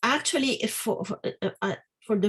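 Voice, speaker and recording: Somewhat breathy and fairly high in pitch, a woman speaks with ordinary pitch variation. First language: Spanish. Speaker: academic presenter. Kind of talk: academic Q&A. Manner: halting, many fillers.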